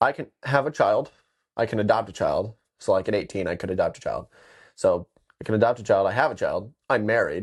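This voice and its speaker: Against a quiet background, a man with an American accent speaks in an animated tone at a moderate pace, with long, frequent pauses. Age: 20s. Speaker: podcast host. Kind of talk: casual chat.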